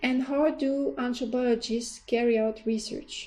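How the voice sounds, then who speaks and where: Fairly slow and fairly even in intonation, the voice has a dark, mellow tone and a French accent. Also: woman. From France. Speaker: university lecturer in anthropology. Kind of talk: course introduction lecture. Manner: formal.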